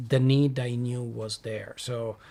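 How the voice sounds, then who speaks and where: A man speaks with an Italian accent. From southern Italy. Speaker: tech company executive and lecturer. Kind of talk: panel interview. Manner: halting.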